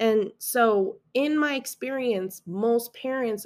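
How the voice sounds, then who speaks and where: A woman with a General American accent speaks at a fairly high pitch with ordinary pitch variation. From Las Vegas, Nevada, US. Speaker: podcast host, high school math teacher. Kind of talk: solo self-help monologue.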